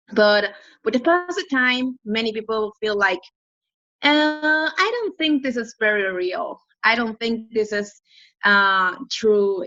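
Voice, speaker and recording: Speaking at a fairly slow pace, a woman has a fairly high pitch and lively intonation. Her tone is bright and sharp. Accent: Spanish. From northern Mexico, Piedras Negras. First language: Spanish. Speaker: ministry regional center worker. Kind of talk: interview.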